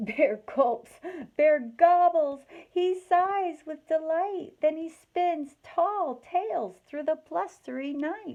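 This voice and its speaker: A squeaky put-on character voice with lively intonation at a very slow pace. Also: woman, extremely high pitch for a woman. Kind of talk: bedtime story read-aloud. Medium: read story. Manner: gentle, expressive.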